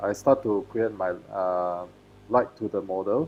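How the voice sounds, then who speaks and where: With a Malaysian accent, a man speaks at a fairly slow pace with ordinary pitch variation against a quiet background. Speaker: photographer. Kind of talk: live webinar presentation. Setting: live video stream. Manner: halting, many fillers.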